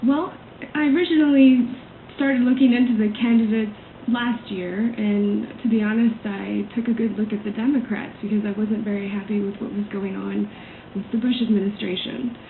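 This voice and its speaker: Over noticeable background noise and audible room echo, a woman talks with an American accent and ordinary pitch variation. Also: fairly high pitch for a woman, moderate pace. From US South, Atlanta, Georgia. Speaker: political campaign volunteer. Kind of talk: radio interview. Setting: radio studio.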